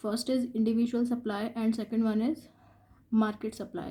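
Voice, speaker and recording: A woman with a fairly high pitch and a dark, mellow tone talks at a moderate pace in a monotone, flat intonation. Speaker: economics teacher. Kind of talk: lecture.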